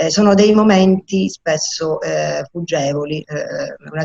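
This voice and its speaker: The sound is dry and close, with no echo, as a woman speaks. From Sicily, Palermo. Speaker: poet and English teacher. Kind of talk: award ceremony speech. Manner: halting, many hesitations.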